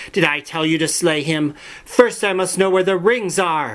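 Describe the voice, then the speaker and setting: Using a put-on character voice, a man talks at a moderate pace with a high, shrill pitch. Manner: screeching, furious.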